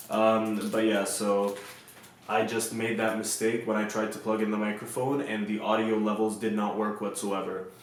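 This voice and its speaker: Over noticeable background noise and audible room echo, a man speaks in a fairly low pitch at a moderate pace with monotone, flat intonation. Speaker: youtuber reviewing gear. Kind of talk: product review tutorial. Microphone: cheap lavalier mic clipped to shirt, may rustle.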